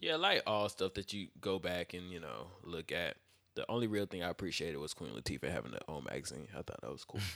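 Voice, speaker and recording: With an American accent, a man talks at a very fast pace with lively intonation, a very deep, low pitch, vocal fry and a bright, sharp tone. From Fayetteville, US South. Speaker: podcast host. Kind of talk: casual chat. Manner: mumbly, low-key.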